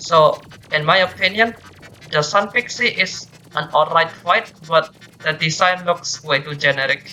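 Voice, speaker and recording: Music plays in the background as a woman speaks with a non-native accent. Her pitch is fairly low and her pace fairly slow. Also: ordinary pitch variation. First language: not English. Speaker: gaming video reviewer. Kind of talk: game review commentary.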